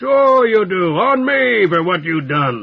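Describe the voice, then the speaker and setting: Putting on a character voice, a man speaks at a fairly slow pace in a high pitch with very wide pitch swings. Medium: read story. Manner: rough, streetwise.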